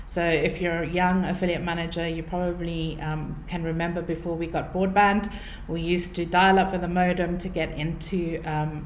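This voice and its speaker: A woman in a South African accent at a moderate pace, flat and monotone, hardly pausing, with audible room echo and noticeable background noise. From South Africa, Cape Town. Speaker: marketing consultant. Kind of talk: webinar presentation. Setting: online webinar.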